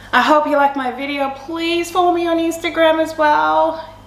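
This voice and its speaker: A woman speaks, and the room echo is clearly audible. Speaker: fitness vlogger and mum. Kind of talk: motivational vlog talk. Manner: animated; halting.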